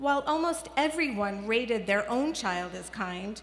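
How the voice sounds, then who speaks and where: A woman with a plain, everyday voice and an American accent, fairly high in pitch, at a moderate pace with lively intonation. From New York City (the Bronx). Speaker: children's media researcher. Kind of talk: commencement speech.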